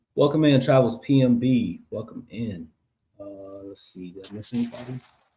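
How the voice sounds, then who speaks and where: A somewhat breathy man with a dark, mellow tone, medium pitch, ordinary pitch variation, moderate pace and big swings in loudness. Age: 30s. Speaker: family channel co-host. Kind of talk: casual live stream chat.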